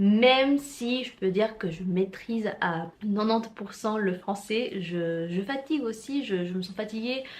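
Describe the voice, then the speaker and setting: Over noticeable background noise, a woman speaks at a fairly slow pace and fairly high pitch, with ordinary pitch variation and hardly any pauses. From Mexico. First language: Spanish (speaking French). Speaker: vlogger and student. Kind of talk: casual vlog. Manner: hesitant, many fillers and repetitions.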